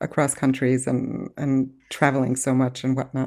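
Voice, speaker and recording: A woman speaks with a dark, mellow tone. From moved around, military family. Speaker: journaling podcast co-host. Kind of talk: casual conversation. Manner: hesitant, many fillers.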